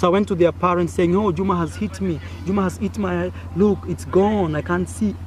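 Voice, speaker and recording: Against noticeable background noise, a man with an East African accent speaks at a fairly quick pace. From Kenya. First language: Swahili. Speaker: YouTuber. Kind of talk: personal storytelling. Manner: animated.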